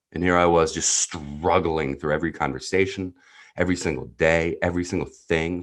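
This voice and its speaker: Vocal fry and a very deep, low pitch from a man at a moderate pace, over a quiet background. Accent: New Jersey. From US Northeast (New Jersey). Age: 30s. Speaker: entrepreneurial neuropsychologist, coach. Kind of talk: podcast interview, personal story.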